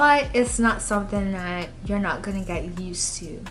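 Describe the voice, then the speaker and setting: Audible room echo and noticeable background noise surround the recording. A woman speaks at a medium pitch and moderate pace with ordinary pitch variation. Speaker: beauty vlogger. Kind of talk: casual vlog talk to camera.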